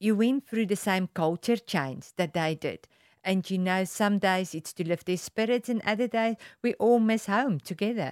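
A woman with a South African accent speaks with ordinary pitch variation in a dry, close sound with no echo, on a very clean recording with a silent background. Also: medium pitch for a woman, moderate pace. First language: Afrikaans. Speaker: volunteer community radio presenter. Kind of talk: interview.

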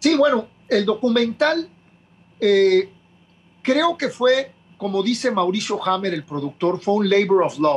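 Long, frequent pauses break up a fairly slow delivery full of very wide pitch swings. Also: man, high pitch for a man. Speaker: punk band frontman. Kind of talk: interview.

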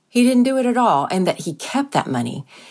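A woman with a Southern US accent and very wide pitch swings. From US South, near South Carolina. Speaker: reporter. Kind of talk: interview explanation.

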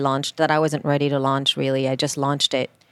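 A woman with a very deep, low pitch talks at a very fast pace in a dry, close sound with no echo. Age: 40s. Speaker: podcaster and yoga teacher. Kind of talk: casual chat. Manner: animated.

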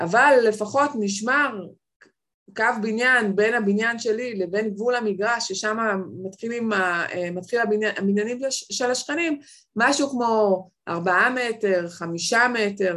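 A woman speaks at a medium pitch. Her tone is fairly bright. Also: ordinary pitch variation.

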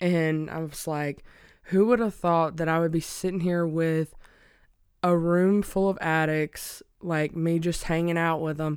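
The recording is very clean, and the background is silent. A woman talks at a fairly slow pace with a fairly low pitch. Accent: Alabama. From US South, small-town Alabama. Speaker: podcast guest, spouse of person in recovery. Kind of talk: casual interview chat.

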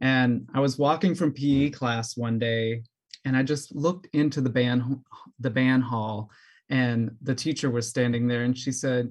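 A man speaks in an ordinary speaking voice at medium pitch with an American accent. His pace is moderate. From US South, New Orleans. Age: 30s. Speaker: clarinetist and music educator. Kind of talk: interview conversation.

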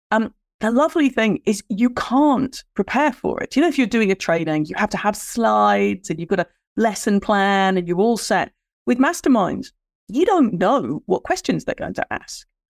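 A woman with an English accent speaks at a moderate pace and a fairly high pitch, using very wide pitch swings and vocal fry. The sound is dry and close with no echo, on a very clean recording with a silent background. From Ireland. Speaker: business strategist and mastermind coach, former film post-production worker. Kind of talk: interview.

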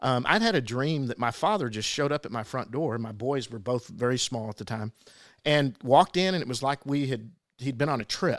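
A man with an unremarkable speaking voice talks at a fairly quick pace, his pitch medium with ordinary variation. The recording is very clean with a silent background. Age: 50s. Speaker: podcast co-host. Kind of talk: casual chat.

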